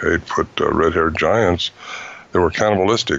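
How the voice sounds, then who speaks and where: Ordinary pitch variation in a man's very deep, low voice. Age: 70s. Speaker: Bigfoot researcher and author. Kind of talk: interview. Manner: halting, many fillers.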